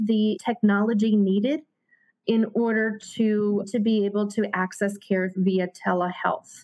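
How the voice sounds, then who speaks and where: A woman with an American accent and a normal speaking voice, fairly high in pitch, at a fairly slow pace. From Hartford, Connecticut. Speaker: health center executive. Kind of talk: interview.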